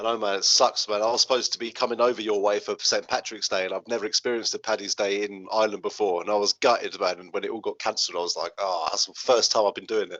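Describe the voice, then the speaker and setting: A man with an English accent talks at a very fast pace. He leaves hardly any pauses. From England. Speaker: podcast host. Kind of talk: casual interview.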